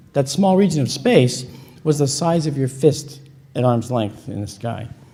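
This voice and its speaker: In a room with audible echo, a man speaks in an animated tone at a fairly high pitch. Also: ordinary pitch variation, moderate pace. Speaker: conference speaker on astronomy and UFO photo analysis. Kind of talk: lecture. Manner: conversational, animated.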